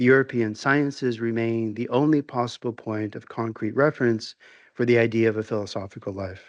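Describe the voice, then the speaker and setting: A soft-spoken man talks at a fairly quick pace at a medium pitch with ordinary pitch variation. The background is quiet. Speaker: visiting philosophy professor. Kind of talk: lecture. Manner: formal.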